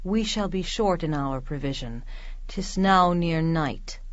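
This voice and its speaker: A woman's put-on character voice, fairly low in pitch and fairly slow. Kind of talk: Shakespearean verse drama. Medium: audio drama.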